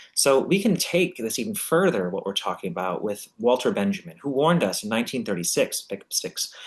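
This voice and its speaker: Fairly quick delivery with hardly any pauses and very wide pitch swings. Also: man, medium pitch for a man. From US Midwest, Chicago. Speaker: university lecturer. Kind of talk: lecture. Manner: fast; animated.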